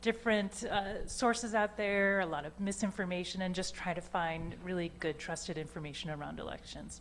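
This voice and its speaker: A woman's fairly low-pitched, normal speaking voice with an American accent, at a fairly quick pace. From Michigan. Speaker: nonprofit executive director. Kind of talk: panel discussion.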